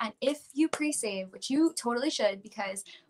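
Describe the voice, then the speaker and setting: Her voice is somewhat breathy. The woman keeps to a moderate pace. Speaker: pop country singer. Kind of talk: interview.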